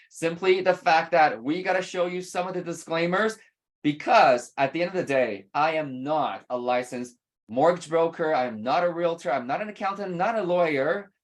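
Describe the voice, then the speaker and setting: At a moderate pace, a woman talks in a fairly low pitch with lively intonation. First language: not English. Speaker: real estate investing mentor. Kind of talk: webinar seminar. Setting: video call webinar.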